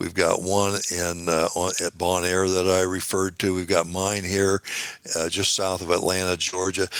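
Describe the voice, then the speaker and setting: With an American accent, a man speaks in a very deep, low voice using flat, monotone intonation. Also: moderate pace. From US Midwest, Muncie, Indiana. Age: 70s. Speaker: ham radio operator, business founder. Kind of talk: interview. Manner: halting, many fillers.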